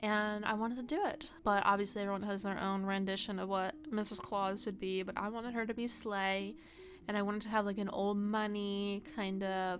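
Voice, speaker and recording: At a fairly quick pace, a woman talks in a medium-pitched voice. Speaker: gaming YouTuber. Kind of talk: casual chat. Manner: fast.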